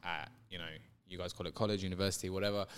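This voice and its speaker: A fairly low-pitched man with a London accent is captured in a very clean recording with a silent background. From England, London. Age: 30s. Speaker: guest. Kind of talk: casual interview.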